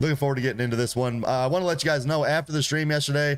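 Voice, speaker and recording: Noticeable background noise sits behind the voice. A man talks with ordinary pitch variation. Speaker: gaming streamer. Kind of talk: live stream gameplay commentary. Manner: animated.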